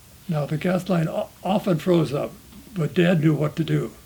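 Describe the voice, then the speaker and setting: This man has a Montana accent and a fairly high pitch. His pitch varies in an ordinary way, and he keeps a moderate pace. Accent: rural Montana American English. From Montana, USA. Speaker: homesteading family descendant. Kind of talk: interview answer.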